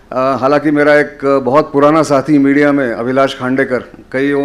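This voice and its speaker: A man with a fairly high pitch speaks in a monotone, flat way over noticeable background noise. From Maharashtra, India. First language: Marathi (speaking Hindi). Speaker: journalist and defence analyst. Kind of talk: public lecture. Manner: hesitant, many fillers.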